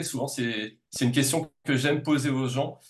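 A man's somewhat breathy, fairly high voice at a fairly quick pace, with fairly even intonation. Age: 40s. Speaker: naturopath and reflexologist. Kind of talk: casual interview.

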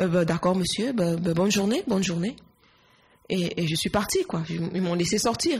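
A woman with an ordinary speaking voice speaks at a fairly slow pace, medium pitch, and ordinary pitch variation. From Cameroon, Yaoundé. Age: 20s. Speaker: nurse. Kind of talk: interview.

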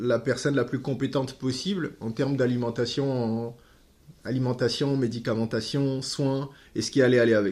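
The man has a dark, mellow tone. He speaks at a fairly slow pace. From West Africa. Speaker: nutrition product distributor. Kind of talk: podcast interview.

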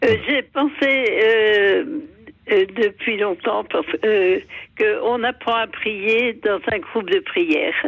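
With very even loudness, a woman with a fairly high pitch speaks very slowly, with ordinary pitch variation and long, frequent pauses. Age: 80s+. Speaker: caller. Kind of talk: phone-in testimony. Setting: phone call. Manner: halting.

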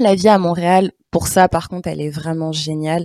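In a Parisian accent, a woman speaks at a fairly low pitch with fairly even intonation, the sound dry and close with no echo. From Paris region, France. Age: 30s. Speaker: podcaster and blogger. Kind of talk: interview conversation. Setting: remote video call.

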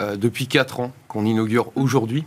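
Fairly even intonation from a man with an unremarkable speaking voice. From France. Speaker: institute founder and director. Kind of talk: interview.

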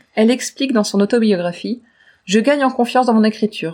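Her voice is somewhat breathy, with a dark, mellow tone and a fairly high pitch for a woman. She moves at a fairly quick pace with ordinary pitch variation. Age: 40s. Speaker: podcast co-host. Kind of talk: casual chat about books.

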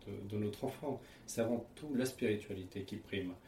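A man is speaking. His pace is moderate. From France, Paris region (Seine). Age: 30s. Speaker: interviewee, husband in interfaith couple. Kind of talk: testimony. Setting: at home. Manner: hesitant, frequent fillers.

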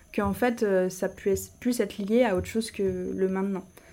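Dark, mellow tone from a woman at medium pitch, on a very clean recording with a silent background. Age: 20s. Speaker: architect and coaching client. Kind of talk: testimony.

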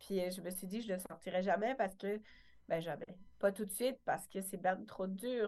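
A woman of medium pitch speaks, holding a moderate pace. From rural France. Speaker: wellness entrepreneur and author. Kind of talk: interview. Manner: halting.

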